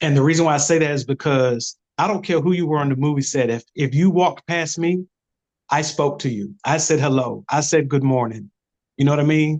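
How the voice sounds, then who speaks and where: A normal speaking voice with an American accent talks at a fairly quick pace with ordinary pitch variation over a quiet background. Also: man, fairly high pitch for a man. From Camden, South Carolina. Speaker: actor. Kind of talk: interview answer.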